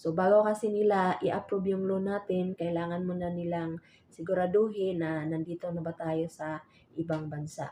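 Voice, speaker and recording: A dark, mellow tone with monotone, flat intonation at a moderate pace. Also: woman, fairly low pitch for a woman. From Visayas, Philippines. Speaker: vlogger and overseas domestic worker. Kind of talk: vlog tutorial. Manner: halting with fillers.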